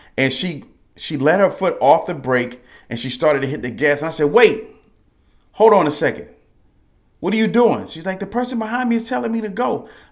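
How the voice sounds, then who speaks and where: A loud, animated man with a high pitch and very wide swings, at a fairly quick pace broken by long, frequent pauses. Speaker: podcast host. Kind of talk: motivational monologue. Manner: loud, emphatic.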